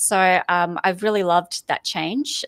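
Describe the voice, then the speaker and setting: A woman with an Australian accent speaks at a moderate pace in a fairly low pitch, with ordinary pitch variation and a dry, close sound with no echo. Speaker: corporate foresight lead, podcast host. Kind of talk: interview conversation.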